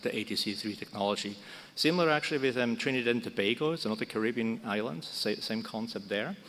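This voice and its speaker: With a Swiss German accent, a man talks very fast at a medium pitch, with ordinary pitch variation. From Switzerland. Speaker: broadcast technology expert. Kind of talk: conference panel talk. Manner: halting, many fillers.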